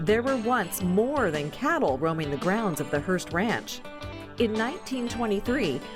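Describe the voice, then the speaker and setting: A woman speaks at a medium pitch and a fairly slow pace, her pitch swinging very widely. Music plays in the background. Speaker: documentary narrator for a TV farm magazine show. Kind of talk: TV documentary narration.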